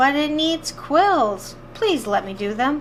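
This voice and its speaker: Using a put-on character voice, a woman speaks high and fairly slowly with very wide pitch swings. Clear background noise can be heard behind her. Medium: read story.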